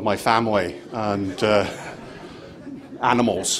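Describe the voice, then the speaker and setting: A man with a Scottish accent, amid noticeable background noise and audible room echo. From Scotland. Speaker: conference speaker, angel investment fund manager. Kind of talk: conference presentation. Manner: hesitant, many fillers.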